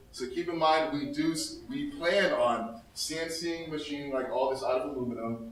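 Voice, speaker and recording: Hardly pausing at all, a man with a fairly high voice and ordinary pitch variation talks over noticeable background noise. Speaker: startup founder. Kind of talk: product pitch and Q&A. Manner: fast.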